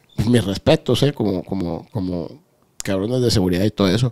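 A man's fairly low voice with a dark, mellow tone, moderate pace and ordinary pitch variation, over a quiet background. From Guadalajara, Mexico. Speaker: former cartel member; podcast host or guest. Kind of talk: interview. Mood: calm, serious recounting. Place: studio. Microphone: studio mic.

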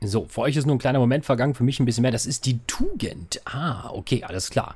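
This is a man's voice at a medium pitch. It carries a slightly husky edge.

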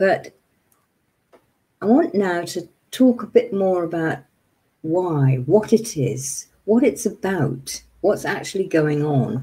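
A woman with a dark, mellow tone and a somewhat breathy voice speaks at a very slow pace, her intonation lively and broken by long, frequent pauses. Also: fairly low pitch for a woman. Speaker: meditation teacher. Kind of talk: webinar lecture. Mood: warm, slightly flustered. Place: home room. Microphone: webcam.

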